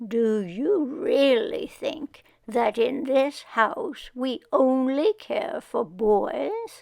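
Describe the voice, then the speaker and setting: Putting on a character voice, a woman speaks very slowly at a high pitch with very wide pitch swings and hardly any pauses. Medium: read story. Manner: gentle, measured.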